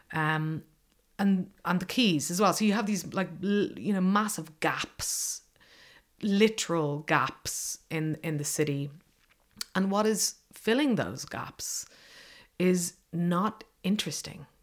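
The voice belongs to a woman with a middle register. She talks very unhurriedly. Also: ordinary pitch variation. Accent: Dublin. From Ireland, south Dublin suburbs. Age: young. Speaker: journalist and activist. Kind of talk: interview.

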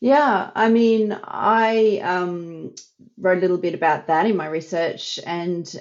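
This woman talks at a fairly slow pace with an Australian accent. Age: 50s. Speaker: psychology researcher. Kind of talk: interview.

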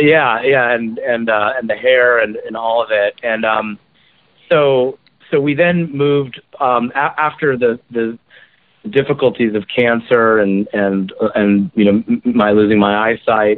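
A man with an American accent speaks fairly slowly at medium pitch, with ordinary pitch variation. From Washington State (Kirkland). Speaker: lieutenant governor. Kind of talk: interview. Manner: halting, many fillers.

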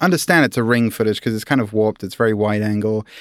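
Very fast speech comes from a man with a British accent. His pitch is medium. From UK. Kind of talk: casual chat.

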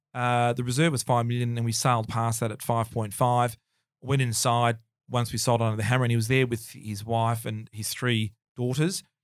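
A man with an Australian accent talks at a fairly quick pace, his medium pitch carrying fairly even intonation. The recording is very clean, with a silent background. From Melbourne, Australia. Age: 50s. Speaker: auctioneer. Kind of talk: casual interview chat, storytelling.

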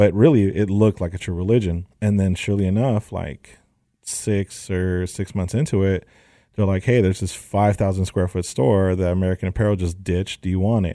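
A man speaks at a fairly quick pace in a very deep, low voice with a dark, mellow tone and fairly even intonation. The recording is very clean, with a silent background. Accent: Southern California. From San Fernando Valley, Los Angeles. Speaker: sneaker store owner. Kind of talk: casual interview.

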